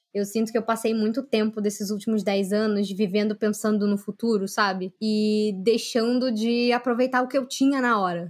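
A woman with an ordinary speaking voice talks at a moderate pace with hardly any pauses. Her pitch is fairly high, her intonation fairly even and her loudness very even. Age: 30s. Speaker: youtuber and journalist. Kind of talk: casual chat.

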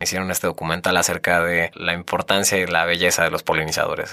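On a very clean recording with a silent background, a man's very deep, low voice comes through with a bright, sharp tone. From Mexico, Querétaro (Tequisquiapan). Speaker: NGO communications director. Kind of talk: casual interview. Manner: animated.

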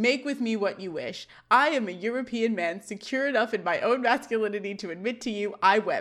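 Pitch varies in an ordinary way as a person reads aloud in a natural voice.

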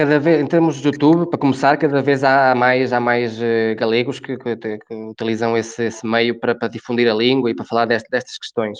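A man with a Galician accent talks at a fairly quick pace with fairly even intonation. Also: medium pitch for a man. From Galicia, Ourense province (rural). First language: Galician (speaking Portuguese). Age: 20s. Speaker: youth organization member. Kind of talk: interview, casual discussion. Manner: halting, repeats words.

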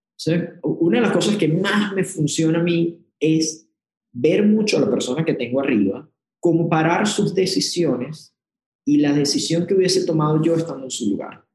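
A man with a Venezuelan accent speaks at a moderate pace in a high pitch, with lively intonation and very even loudness. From Venezuela, Puerto Ordaz. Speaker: corporate executive. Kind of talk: interview.

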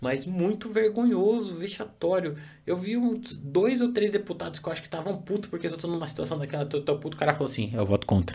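Over noticeable background noise, a high-pitched man talks at a very fast pace with hardly any pauses and very wide pitch swings. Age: 30s. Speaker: podcast host. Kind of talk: casual chat.

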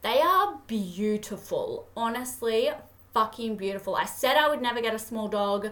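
Amid noticeable background noise, the speaker talks at a moderate pace with an Australian accent and ordinary pitch variation. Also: woman, fairly high pitch for a woman. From Australia, Toowoomba, Queensland. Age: 20s. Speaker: podcast host. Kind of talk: casual monologue. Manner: animated.

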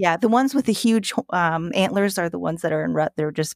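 Very fast and lively, a woman with a fairly low pitch speaks in a dry, close sound with no echo on a very clean recording with a silent background. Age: 40s. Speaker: zookeeper. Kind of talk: casual chat.

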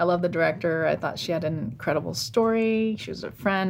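A woman talks at a moderate pace in an unremarkable speaking voice with ordinary pitch variation. The recording is very clean, with a silent background. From US, northern Virginia. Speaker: cinematographer. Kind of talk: casual interview conversation.

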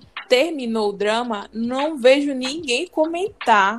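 Behind the speech, music is playing. The speaker is a woman, her pitch varying in an ordinary way. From Brazil, Pará. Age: 20s. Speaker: podcast co-host, fan translation group admin. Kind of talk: casual chat.

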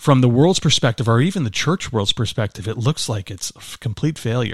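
A man's somewhat breathy voice at a very fast pace, dry and close with no echo, in a very clean recording with a silent background. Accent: American. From Chicago area, Illinois. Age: 50s. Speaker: pastor and businessman. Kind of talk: interview testimony. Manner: energetic.

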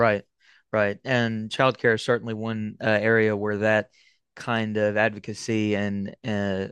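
In an Appalachian accent, the speaker goes at a moderate pace with monotone, flat intonation. The sound is dry and close, with no echo. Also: man. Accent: Appalachian Southern US. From Eastern Kentucky, Appalachia. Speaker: podcast host. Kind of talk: casual interview and monologue.

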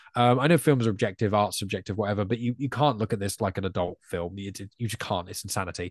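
A man with an English accent speaks very fast, with hardly any pauses, at a fairly low pitch and ordinary pitch variation. The sound is dry and close with no echo, over a quiet background. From England. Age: 20s. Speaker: podcaster. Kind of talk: casual chat.

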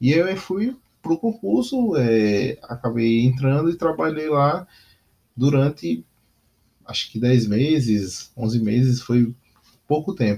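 Speaking at a very slow pace with long, frequent pauses, a man with a medium pitch uses lively intonation in a somewhat breathy voice. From Northeast Brazil, Aracaju. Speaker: podcast host, entrepreneur. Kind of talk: solo monologue podcast. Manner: halting, many fillers; casual.

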